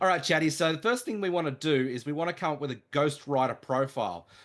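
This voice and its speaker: The delivery is very fast, enthusiastic and energetic, with lively intonation against a quiet background. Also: man. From Australia. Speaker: online marketing trainer. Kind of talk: live training webinar. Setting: live video call with screen share. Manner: enthusiastic, energetic.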